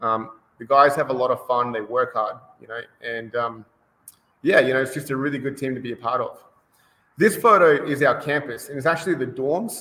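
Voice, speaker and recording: A man with an Australian accent, fairly high in pitch, bright and sharp in tone, at a fairly quick pace with long, frequent pauses and ordinary pitch variation. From Australia, Brisbane. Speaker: rowing coach. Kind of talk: interview. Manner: many filler words, hesitant.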